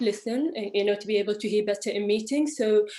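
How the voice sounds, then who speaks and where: A woman speaks at a medium pitch. Noticeable background noise runs beneath her voice. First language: not English. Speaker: architect. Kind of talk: panel discussion. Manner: halting.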